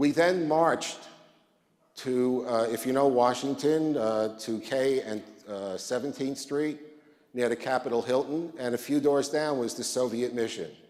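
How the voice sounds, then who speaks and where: Audible room echo surrounds a man with an American accent, medium pitch and fairly even intonation. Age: 60s. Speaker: rabbi. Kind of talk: conference talk.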